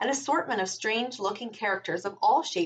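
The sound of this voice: The voice heard here is an unforced reading voice.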